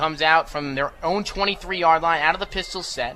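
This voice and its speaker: A man's high voice with ordinary pitch variation, music in the background. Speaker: radio football play-by-play announcer. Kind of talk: live sports play-by-play commentary. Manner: fast, energetic.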